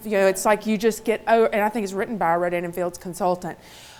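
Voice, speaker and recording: A woman speaks with a Mississippi accent. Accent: Southern (Mississippi). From Mississippi, US South. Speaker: motivational speaker. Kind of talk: keynote talk.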